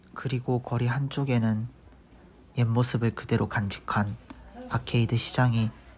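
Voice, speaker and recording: The delivery is fairly slow, and noticeable background noise can be heard throughout. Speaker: travel vlog narrator. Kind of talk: travel essay narration. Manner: occasionally stammers.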